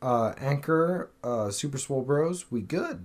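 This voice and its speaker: On a very clean recording with a silent background, a man in a normal speaking voice talks at a fairly slow pace with a fairly high pitch and lively intonation. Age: 30s. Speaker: fitness podcast co-host. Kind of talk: casual chat.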